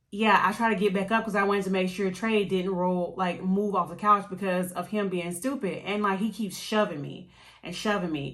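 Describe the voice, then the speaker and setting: The speech comes at a fairly quick pace with audible echo from the room. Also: woman. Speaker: beauty and lifestyle vlogger, former Marine. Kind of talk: casual storytelling chat. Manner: loud.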